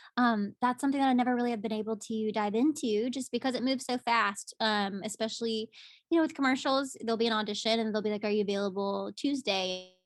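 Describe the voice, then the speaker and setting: A woman with a strong Southern accent talks at a very fast pace and a fairly high pitch with ordinary pitch variation, the sound dry and close with no echo. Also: hardly any pauses. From US South, Pensacola, Florida. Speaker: musical theatre actress. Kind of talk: casual interview. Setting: video call. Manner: animated.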